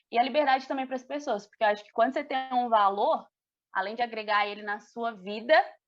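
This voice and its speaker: A woman talks very rapidly in a fairly high register, her pitch varying in an ordinary way. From Brazil, Belo Horizonte (Minas Gerais). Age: 20s. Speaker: speech therapist. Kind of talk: casual chat.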